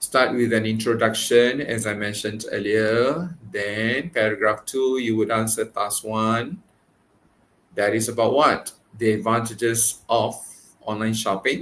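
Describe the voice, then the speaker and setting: A man with a plain, everyday voice speaks at a medium pitch and a fairly slow pace, his intonation fairly even. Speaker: English teacher. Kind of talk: online exam-prep lesson. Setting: live stream.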